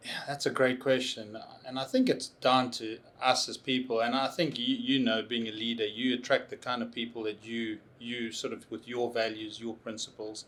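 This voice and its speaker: A man speaks with a South African accent. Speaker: tech consultancy CEO. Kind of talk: interview. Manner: halting.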